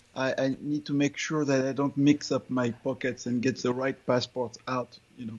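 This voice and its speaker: This is a man with a fairly high pitch. His pace is moderate. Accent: French. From Ivory Coast / France. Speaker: author and business consultant. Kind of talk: casual interview.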